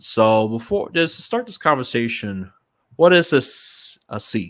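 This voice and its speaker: A man speaks at a fairly slow pace with very wide pitch swings. His loudness rises and falls in big swings. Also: medium pitch for a man. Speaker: podcast host. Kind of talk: podcast interview.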